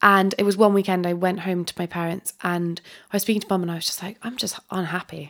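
A woman speaks very fast in a southern English accent, her medium pitch held in a fairly even intonation. The recording is very clean, with a silent background. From Dorset, southwest England. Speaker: holistic health coach. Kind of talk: casual interview. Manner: calm.

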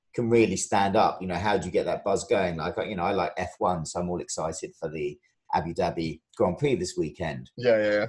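A man with a British accent at a fairly quick pace. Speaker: podcast host. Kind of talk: casual interview chat.

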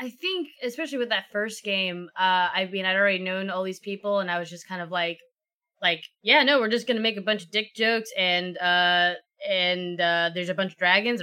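Using a normal speaking voice, a woman talks at a fairly quick pace and medium pitch, with ordinary pitch variation and big swings in loudness. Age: 20s. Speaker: tabletop game organizer. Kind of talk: casual interview.

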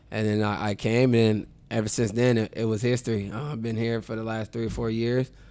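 Monotone and flat, a man with an American accent speaks in a medium pitch at a moderate pace, in a very clean recording with a silent background. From US, Southern California. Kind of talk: casual interview chat.

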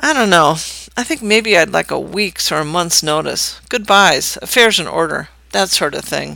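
Here someone reads with a natural voice.

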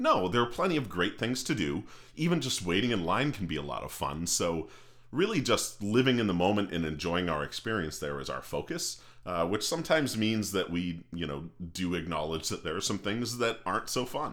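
A man with a fairly low pitch talks at a fairly quick pace, his pitch swinging very widely. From New England. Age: 30s. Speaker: podcast co-host. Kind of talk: casual chat.

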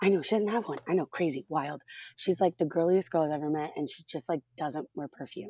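In a very clean recording with a silent background, a woman speaks loudly and energetically at a fairly quick pace with ordinary pitch variation. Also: dry, close sound with no echo. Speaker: podcast co-host. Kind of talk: casual chat.

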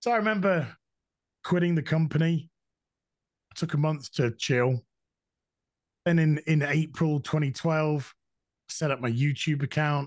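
Against a quiet background, a man with a fairly high pitch speaks at a moderate pace with long, frequent pauses and very even loudness, the sound dry and close with no echo. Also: ordinary pitch variation. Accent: Yorkshire. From Yorkshire, northern England. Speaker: YouTuber. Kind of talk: casual chat. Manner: animated.

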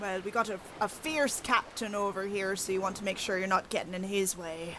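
A gruff, female-sounding put-on character voice at a middle pitch speaks at a moderate pace over clear background noise. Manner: gruff, stern.

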